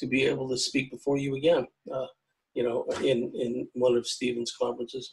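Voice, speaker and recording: With ordinary pitch variation, a man talks in a somewhat breathy voice at a medium pitch and a moderate pace. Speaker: lecturer on aliens and UFOs. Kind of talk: pre-recorded lecture. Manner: halting, many repetitions and fillers.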